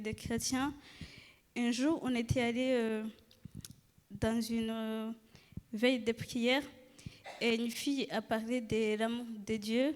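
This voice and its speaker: A woman's fairly high voice, very slow and monotone, with flat intonation. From Rwanda. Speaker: church member giving testimony. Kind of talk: testimony. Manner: halting, many hesitations.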